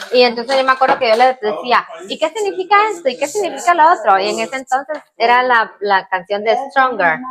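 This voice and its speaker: A woman speaks at a fairly quick pace with hardly any pauses, her high pitch making very wide swings. Noticeable background noise runs underneath. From Guatemala, born in Cuba. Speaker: channel co-host. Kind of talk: casual chat. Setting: home kitchen.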